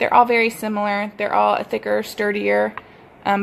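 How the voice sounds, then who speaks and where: Someone with a strong Texas accent speaks at a moderate pace. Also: woman. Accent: thick Texas. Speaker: sewing pattern designer. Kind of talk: tutorial. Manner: casual, with many fillers.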